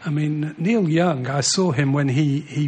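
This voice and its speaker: A man with a Mancunian accent and a fairly high pitch, amid noticeable background noise. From Manchester, England. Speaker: former footballer. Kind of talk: casual chat.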